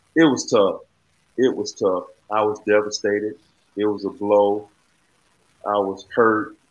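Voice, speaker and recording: A man with an Alabama accent, fairly slow, with long, frequent pauses. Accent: Southern US (Alabama). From Alabama, US South (Sumter County). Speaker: former basketball player and county commissioner. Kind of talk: interview.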